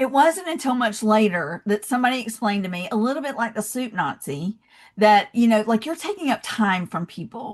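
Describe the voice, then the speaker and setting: A woman's somewhat breathy, fairly high voice in a Southern US accent, with lively intonation and a fairly quick pace. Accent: Southern American. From US South, Georgia. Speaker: love and leadership speaker, founder. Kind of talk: podcast interview.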